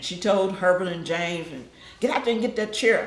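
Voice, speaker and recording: A woman with a Texas accent at a moderate pace, ordinary pitch variation, audible room echo and noticeable background noise. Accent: Southern US (Texas). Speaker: family member recalling her mother. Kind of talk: family group interview.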